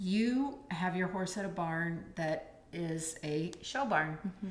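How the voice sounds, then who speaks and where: A somewhat breathy voice with audible room echo. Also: woman. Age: 50s. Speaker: podcast host, miniature horse sanctuary owner; podcast host. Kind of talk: casual chat. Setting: home recording setup. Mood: relaxed, friendly. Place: home room.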